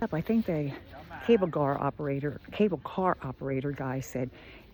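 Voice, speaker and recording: The speaker has an American accent and a lively, varied intonation. Noticeable background noise can be heard. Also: woman. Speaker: travel vlogger. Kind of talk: casual travel vlog narration. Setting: outdoors on mountain summit. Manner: casual, hesitant with fillers.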